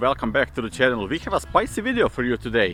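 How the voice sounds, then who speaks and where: A man talks at a very fast pace. He has a Balkan accent. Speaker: vlogger. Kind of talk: casual vlog, reacting to comments. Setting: outdoors, walking through city.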